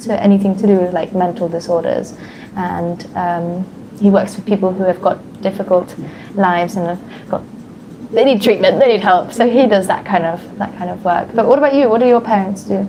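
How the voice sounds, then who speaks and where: A woman talks at a fairly quick pace with a southern British accent. Her pitch is medium with ordinary variation, and there is noticeable background noise. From England. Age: 20s. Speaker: English conversation partner. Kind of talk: casual conversation practice.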